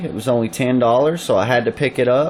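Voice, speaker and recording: Here a man talks with a Southern US accent. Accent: Southern US (Georgia). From US South, Georgia. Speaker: YouTuber showing collectibles and pickups. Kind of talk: casual video review. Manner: animated.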